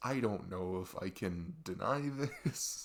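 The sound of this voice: Doing a put-on character voice, a man speaks slowly at a low pitch with lively intonation.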